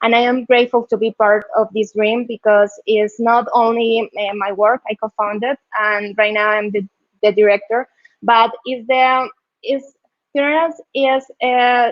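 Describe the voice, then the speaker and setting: A woman speaks with a Colombian accent at a fairly slow pace. Her pitch is fairly high and her intonation fairly even. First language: Spanish. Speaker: UX designer and tech community leader. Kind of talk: conference talk. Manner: halting, many fillers and repetitions.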